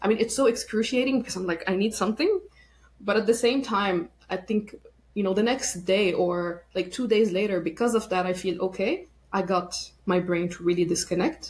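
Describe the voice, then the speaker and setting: A somewhat breathy woman speaks with ordinary pitch variation. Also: medium pitch for a woman, moderate pace. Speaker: burnout and workplace wellbeing expert. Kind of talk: podcast interview.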